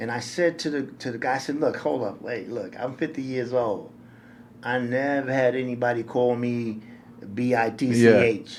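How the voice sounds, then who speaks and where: Audible room echo surrounds a man with an American accent who talks at a moderate pace in a medium pitch with fairly even intonation. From New York City. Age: 60s. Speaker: nonprofit director. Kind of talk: interview storytelling. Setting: podcast interview.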